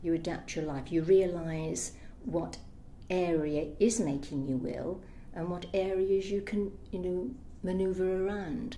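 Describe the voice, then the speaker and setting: A woman at a fairly slow pace with audible room echo. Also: medium pitch for a woman, ordinary pitch variation. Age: 60s. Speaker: interviewee with electrosensitivity. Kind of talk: testimony.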